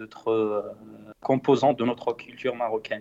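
At a very slow pace, a man speaks at medium pitch. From Morocco, central High Atlas. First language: Berber (Tamazight) (speaking French). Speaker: singer-songwriter. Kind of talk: interview. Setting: Skype call. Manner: halting, many repetitions.

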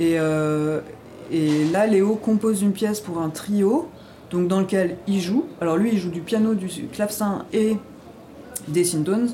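At a very slow pace with long, frequent pauses, a woman speaks at a medium pitch. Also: ordinary pitch variation. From Ardennes, France. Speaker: improvising double bassist. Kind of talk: interview. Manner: halting.

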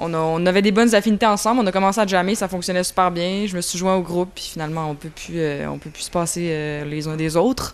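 Her loudness swinging widely, a woman talks at a fairly quick pace and medium pitch with ordinary pitch variation. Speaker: drummer. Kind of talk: interview. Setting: music festival.

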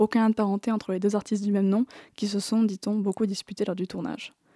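At a fairly quick pace, a woman speaks in a medium-pitched, monotone, flat voice, captured in a very clean recording with a silent background and a dry, close sound with no echo. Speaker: film columnist. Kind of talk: radio film review. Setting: studio.

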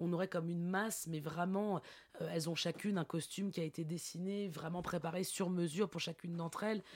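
A woman speaks at a fairly low pitch in a monotone, flat intonation, on a very clean recording with a silent background. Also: fairly quick pace. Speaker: theatre director. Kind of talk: interview. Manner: hesitant, many fillers.

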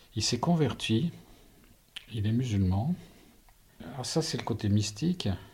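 Lively in intonation but fairly slow, a man with a medium-pitched, somewhat breathy voice speaks with long, frequent pauses. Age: 60s. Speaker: retiree, stepfather of a healer. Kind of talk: interview.

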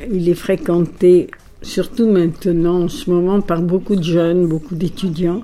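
A woman with an Italian accent at a fairly low pitch, very slow pace and fairly even intonation, over noticeable background noise. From Egypt (Alexandria), Greek family. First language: Italian (speaking French). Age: 80s+. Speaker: poetry club owner. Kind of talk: interview.

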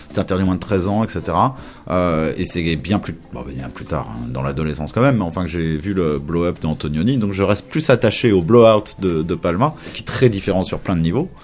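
Over noticeable background noise, a man speaks at a moderate pace in a very deep, low voice with lively intonation. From Paris, France. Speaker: radio host and DJ. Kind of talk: casual interview chat.

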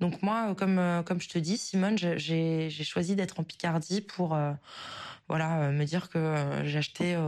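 The speech moves at a very slow pace with fairly even intonation. The background is quiet. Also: woman. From northern France, southern Oise (Picardy). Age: 20s. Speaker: listener leaving voice message. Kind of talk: recorded voice message. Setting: voice memo sent to show. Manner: hesitant, many fillers.

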